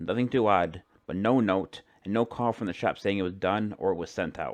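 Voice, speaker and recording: This man talks at a fairly low pitch with fairly even intonation. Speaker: amateur creepypasta narrator. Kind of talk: horror story narration. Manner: stumbles over words.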